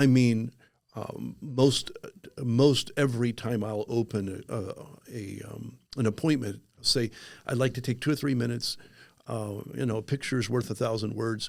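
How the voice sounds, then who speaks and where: An unremarkable speaking voice belongs to a man with medium pitch. He keeps a moderate pace and fairly even intonation. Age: 60s. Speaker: insurance agent, former pastor. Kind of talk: podcast interview. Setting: podcast studio.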